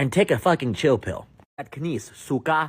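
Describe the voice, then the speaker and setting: With an American accent and vocal fry, a man talks at a moderate pace in an animated tone. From United States. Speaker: podcast host. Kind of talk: opinion rant.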